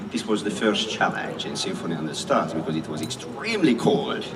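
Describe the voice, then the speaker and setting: A man with a Hungarian accent talks at a fairly quick pace through noticeable background noise and audible room echo. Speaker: symphony conductor. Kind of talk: speech to an outdoor concert audience.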